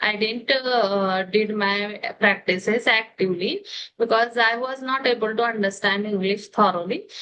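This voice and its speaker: Her pitch fairly high, a woman speaks with an Indian accent and fairly even intonation. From India, Delhi. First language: Hindi. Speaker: English learner, homemaker. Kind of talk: interview conversation. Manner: halting, many hesitations.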